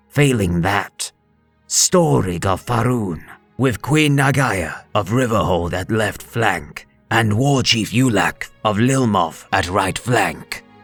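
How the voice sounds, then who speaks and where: A put-on character voice with lively intonation at a fairly slow pace, faint music in the background. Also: man, medium pitch for a man. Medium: read story. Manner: formal, courteous.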